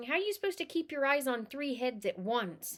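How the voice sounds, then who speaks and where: Using a put-on character voice, a woman talks at a fairly quick pace in a high pitch with very wide pitch swings and very even loudness. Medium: read story. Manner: snapping, hostile.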